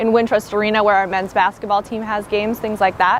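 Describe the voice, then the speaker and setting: A woman talks at a very fast pace. Noticeable background noise runs beneath her. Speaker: campus tour guide. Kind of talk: guided campus tour. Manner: lowers voice inside the library.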